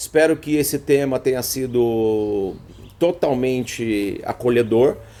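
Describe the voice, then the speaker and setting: A man with a Brazilian accent talks at a very slow pace. His pitch is medium. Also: ordinary pitch variation. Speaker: therapist. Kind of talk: live stream talk. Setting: live stream.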